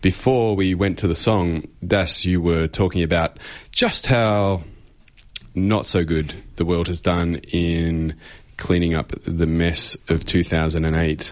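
With an Australian accent, a man speaks at a very slow pace in a very deep, low pitch with fairly even intonation. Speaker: radio co-host. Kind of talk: radio talk show. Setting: radio studio.

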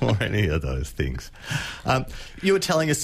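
A man with an Australian accent at a fairly quick pace. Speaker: radio host. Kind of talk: casual radio chat. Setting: studio.

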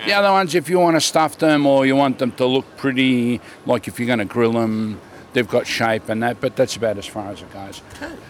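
Lively intonation marks this man's medium-pitched voice with an Australian accent. His loudness swings a lot. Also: fairly quick pace. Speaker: market vendor. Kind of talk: casual chat. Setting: outdoors at a market.

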